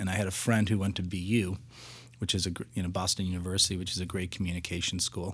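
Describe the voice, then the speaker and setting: Delivering speech at a very fast pace, a man with an American accent and a very deep, low pitch is heard on a very clean recording with a silent background. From Massachusetts, Lexington. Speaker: advertising creative director. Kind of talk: interview conversation. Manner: halting, with many fillers and repeats.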